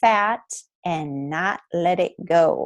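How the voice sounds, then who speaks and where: Woman at a very slow pace with lively intonation. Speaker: essential oils educator. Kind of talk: webinar presentation. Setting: recorded webinar.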